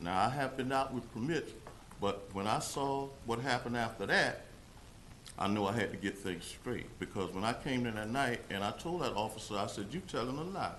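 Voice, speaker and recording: Lively intonation carries this voice along at a moderate pace, with audible room echo around it. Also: man, medium pitch for a man. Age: 60s. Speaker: resident speaking at public comment. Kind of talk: public comment at council meeting.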